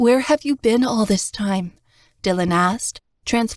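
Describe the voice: This is plain reading aloud over a quiet background. The pitch varies in an ordinary way.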